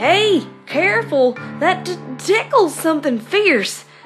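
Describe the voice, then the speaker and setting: With clear music in the background, a woman uses a put-on character voice at a high pitch and fairly slow pace. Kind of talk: story reading with character voices.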